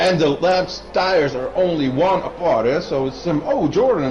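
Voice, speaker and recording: A high-pitched man speaks with audible room echo and music in the background. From Netherlands. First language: Dutch. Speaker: sim racing commentator. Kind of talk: live commentary. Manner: animated.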